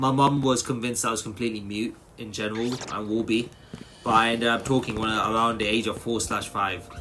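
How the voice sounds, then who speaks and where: Music plays in the background as a man speaks at a fairly quick pace and medium pitch. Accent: British. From England. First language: Tamil. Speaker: gaming streamer. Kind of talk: live stream chat. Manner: casual, animated.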